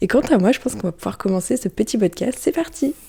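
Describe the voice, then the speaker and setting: A woman speaks at a fairly quick pace, somewhat breathy. Her tone is dark and mellow, with lively intonation. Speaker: podcaster and YouTuber. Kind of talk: casual solo podcast. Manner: quieter than usual.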